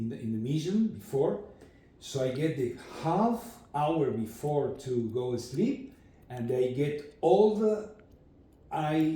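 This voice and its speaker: A man with a non-native accent and lively intonation, at a very slow pace, with audible room echo. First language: not English. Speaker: recovering alcoholic, trade school student. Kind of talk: interview. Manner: halting.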